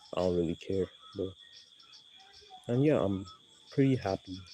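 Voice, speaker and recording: Backed by music, a man with a very deep, low voice speaks at a moderate pace with ordinary pitch variation. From Nigeria. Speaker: YouTuber. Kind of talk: casual vlog commentary. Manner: casual, rambling with fillers.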